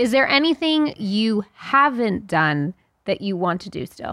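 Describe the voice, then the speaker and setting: In a dry, close sound with no echo and a very clean recording with a silent background, the voice has a bright, sharp tone, very wide pitch swings and a fairly slow pace. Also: woman. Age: 40s. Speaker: podcast co-host. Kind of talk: casual chat.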